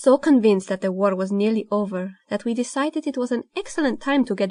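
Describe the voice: Straightforward read-aloud delivery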